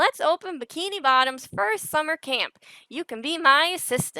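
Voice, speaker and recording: Someone does a put-on character voice at a moderate pace on a very clean recording with a silent background. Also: woman, high pitch for a woman. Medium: read story.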